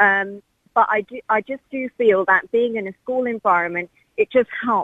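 A woman with an English accent, fairly high-pitched, at a fairly slow pace with ordinary pitch variation. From England. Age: young. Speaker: caller. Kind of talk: radio phone-in.

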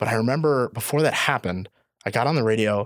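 A plain, everyday voice from a man at medium pitch, fairly quick, in a dry, close sound with no echo and a very clean recording with a silent background. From northwest Indiana. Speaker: school resource officer (police). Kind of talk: casual interview.

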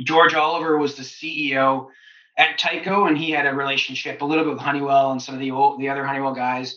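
With audible room echo, a man speaks at a very fast pace and a fairly high pitch, his intonation fairly even. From Canada (Ontario). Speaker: business executive and entrepreneur. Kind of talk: interview.

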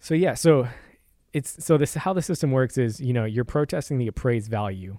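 An ordinary speaking voice with an American accent and lively intonation, on a very clean recording with a silent background. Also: man. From San Antonio, Texas. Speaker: property tax lawyer. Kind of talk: casual interview.

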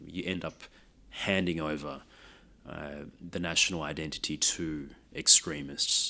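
In a very clean recording with a silent background, a man with an Australian accent speaks at a fairly slow pace with a very deep, low pitch, a bright, sharp tone, monotone, flat intonation, big swings in loudness, and long, frequent pauses. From Australia, Sydney. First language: Lao. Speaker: race discrimination commissioner. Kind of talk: interview.

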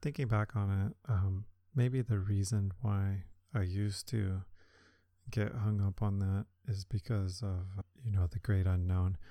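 On a very clean recording with a silent background, a man speaks at a fairly slow pace and fairly low pitch, somewhat breathy, with a dark, mellow tone, very even loudness and fairly even intonation. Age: 30s. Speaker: podcast host, amateur runner. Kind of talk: solo podcast monologue. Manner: casual with many filler words.

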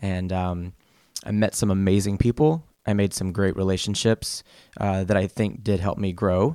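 The voice has a dark, mellow tone and ordinary pitch variation at a moderate pace. The recording is very clean, with a silent background and a dry, close sound with no echo. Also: man, fairly low pitch for a man. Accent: American. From US South. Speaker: real estate agent. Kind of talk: casual interview. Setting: studio.

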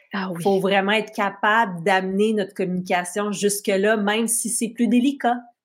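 At a moderate pace, a woman talks in an ordinary speaking voice, medium in pitch, with fairly even intonation. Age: 40s. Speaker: podcast host. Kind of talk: interview.

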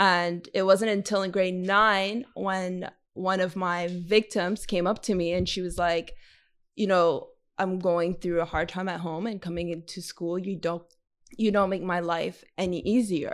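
A woman with a Montreal accent speaks fairly slowly in a monotone, flat intonation, in a very clean recording with a silent background. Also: medium pitch for a woman. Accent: Canadian English (Montreal). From Montreal West Island, Quebec. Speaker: community organizer and podcaster. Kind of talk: interview.

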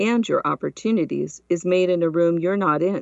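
In a plain, everyday voice, a woman talks at a moderate pace with fairly low pitch and ordinary pitch variation. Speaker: podcast host. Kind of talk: interview.

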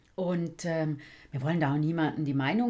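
A woman on a very clean recording with a silent background. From St. Gallen, Switzerland. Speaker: podcast host. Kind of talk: casual chat.

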